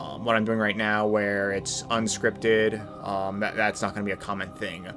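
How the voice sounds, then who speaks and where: Music plays in the background as a man with a fairly low pitch speaks at a moderate pace in a monotone, flat intonation. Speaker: YouTube video game commentator. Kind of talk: unscripted rant. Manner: halting, many fillers and repeats.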